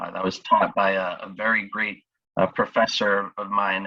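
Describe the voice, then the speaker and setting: In a South Florida accent, a man speaks at a moderate pace. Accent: American, South Florida. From US South, Miami, Florida. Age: 20s. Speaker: startup founder. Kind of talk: interview. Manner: halting, many fillers.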